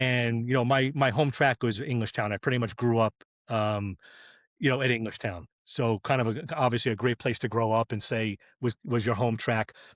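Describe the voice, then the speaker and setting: With an unremarkable speaking voice and an American accent, a man speaks at a moderate pace with medium pitch and fairly even intonation on a very clean recording with a silent background. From New York area, US Northeast. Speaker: drag racing clutch specialist. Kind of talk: casual podcast chat.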